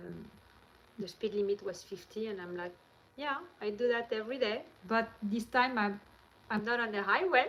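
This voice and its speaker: Ordinary pitch variation and a moderate pace mark this voice with a French accent. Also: woman. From France. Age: 40s. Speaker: vlogger. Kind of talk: casual chat. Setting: livestream.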